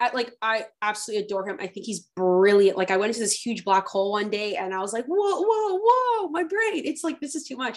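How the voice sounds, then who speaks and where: This woman has an unremarkable speaking voice, fairly high in pitch, with lively intonation. She talks at a fairly quick pace with hardly any pauses. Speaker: podcast host. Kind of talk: interview conversation.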